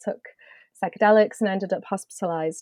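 In a British accent, a woman talks at a very fast pace, her voice dry and close with no echo against a quiet background. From UK. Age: 40s. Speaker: cartoonist. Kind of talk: casual interview.

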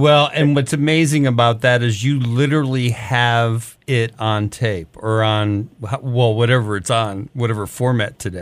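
Heard on a very clean recording with a silent background, an ordinary speaking voice with an American accent moves at a moderate pace with ordinary pitch variation and hardly any pauses. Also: man, medium pitch for a man. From Detroit, US Midwest. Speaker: music promotion veteran, podcast co-host. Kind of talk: casual interview.

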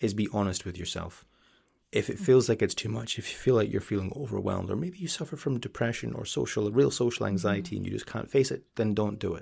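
A man with a fairly low voice and vocal fry talks very fast with lively intonation. The recording is very clean, with a silent background. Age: 30s. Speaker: ASMR content creator. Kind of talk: casual chat. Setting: studio.

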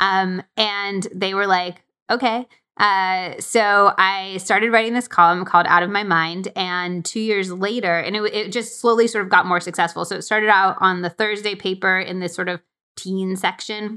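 A woman's bright, sharp voice at medium pitch, flat and monotone, at a moderate pace. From US West (Arizona and California). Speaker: cookbook author and podcaster. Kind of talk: casual interview chat.

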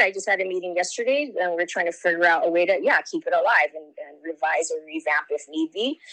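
In a Hawaiian accent, a woman speaks with lively intonation. Her tone is bright and sharp. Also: dry, close sound with no echo. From Hawaii, Lahaina, Maui. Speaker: political candidate. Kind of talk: interview.

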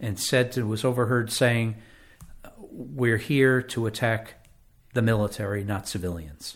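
A normal speaking voice from a medium-pitched man with an American accent, fairly slow and fairly even in intonation, in a very clean recording with a silent background. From Connecticut, West Haven. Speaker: local historian and author. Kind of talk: interview.

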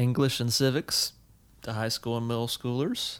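On a very clean recording with a silent background, a man with an ordinary speaking voice and an American accent talks at a moderate pace in a medium pitch, with fairly even intonation. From US South, South Carolina. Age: 30s. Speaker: podcast co-host, teacher. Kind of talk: casual chat.

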